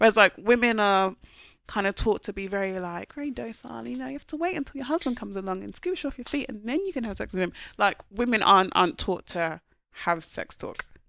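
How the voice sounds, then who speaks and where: A woman talks very fast in a bright, sharp tone, with very wide pitch swings and big swings in loudness. The recording is very clean, with a silent background. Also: medium pitch for a woman. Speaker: fellow podcaster. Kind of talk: casual chat. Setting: studio.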